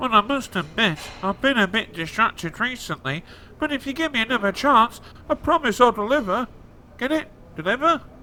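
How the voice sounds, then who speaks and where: A cartoonish character voice from a man, pitched extremely high, at a fairly quick pace over clear background noise. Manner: pedantic, talkative.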